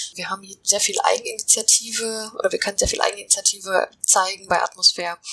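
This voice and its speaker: A woman races along very fast with hardly any pauses, noticeable background noise behind her. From Finland. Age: 20s. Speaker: climate protection NGO employee, physicist. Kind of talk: interview.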